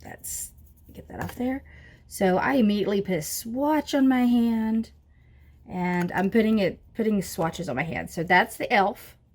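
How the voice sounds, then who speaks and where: Somewhat breathy, a woman talks at a moderate pace in a medium pitch with lively intonation. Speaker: beauty vlogger. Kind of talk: makeup tutorial. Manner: casual, chatty.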